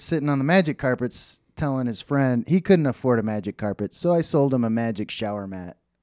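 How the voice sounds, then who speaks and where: A man with an American accent and a dark, mellow tone, lively intonation, moderate pace, very clean recording, silent background, dry and close with no echo. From Texas, Dallas. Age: 30s. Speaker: podcast co-host. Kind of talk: casual chat.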